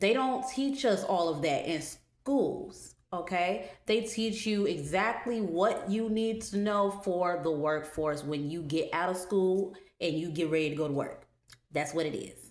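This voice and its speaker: A woman talks at a fairly slow pace with lively intonation, and audible room echo surrounds her. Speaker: metaphysical minister and spiritual teacher. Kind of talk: online course lecture.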